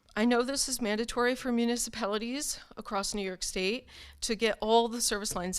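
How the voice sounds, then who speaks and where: A woman speaks at a moderate pace. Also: very clean recording, silent background. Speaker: parent advocate. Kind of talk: prepared speech. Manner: emotional, halting.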